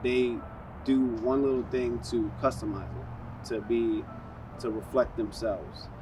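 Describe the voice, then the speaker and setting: Through audible room echo and noticeable background noise, a man with a New York accent speaks at a fairly slow pace. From New York, South Bronx. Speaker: car enthusiast. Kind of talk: interview. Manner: hesitant, many fillers.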